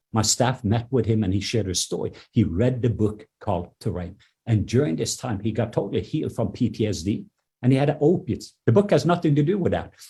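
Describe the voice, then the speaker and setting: With a non-native accent, a man talks fairly quickly in a dark, mellow, somewhat breathy tone with lively intonation. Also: medium pitch for a man. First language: not English. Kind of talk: podcast interview testimony. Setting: in his office. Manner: halting, with fillers and repetitions.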